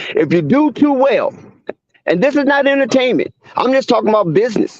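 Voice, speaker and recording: At a moderate pace, a man talks with lively intonation in an extremely high voice. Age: 50s. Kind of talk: heated debate. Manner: animated.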